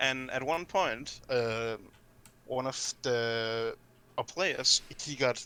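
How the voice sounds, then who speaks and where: A man with a Danish accent speaks very slowly in a bright, sharp tone, his pitch varying in an ordinary way. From Denmark. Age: young. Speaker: streamer and esports player. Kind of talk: casual live-stream chat. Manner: halting.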